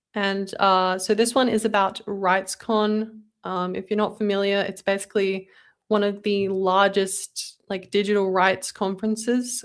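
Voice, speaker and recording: A woman with an Australian accent talks in a flat monotone at a medium pitch and a fairly slow pace. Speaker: podcast co-host. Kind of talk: casual chat; reading aloud.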